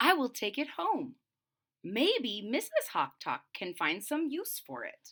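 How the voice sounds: A woman does a put-on character voice, fairly high-pitched with a fairly bright tone and a slightly husky edge. She speaks slowly, with very wide pitch swings.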